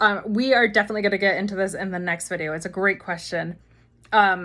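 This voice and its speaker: In a very clean recording with a silent background, a woman with an American accent talks at a very fast pace, her tone bright and sharp and her intonation fairly even. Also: medium pitch for a woman. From US East Coast. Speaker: marketing agency founder. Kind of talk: Q&A video talk.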